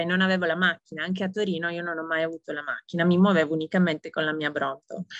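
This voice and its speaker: A woman at a medium pitch, dry and close with no echo. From Italy. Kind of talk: interview.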